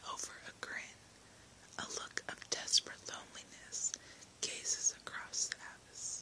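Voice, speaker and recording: The speech is whispered. It keeps a moderate pace over noticeable background noise. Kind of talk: whispered book reading for relaxation, first-person narration.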